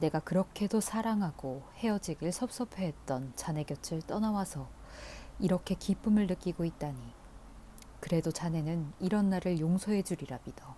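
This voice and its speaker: Somewhat breathy with a dark, mellow tone, this calm-toned voice keeps a moderate pace and ordinary pitch variation. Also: woman, fairly low pitch for a woman. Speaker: audiobook reader. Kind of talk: audiobook reading of a classic novel. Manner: soft, calm, ASMR-style reading.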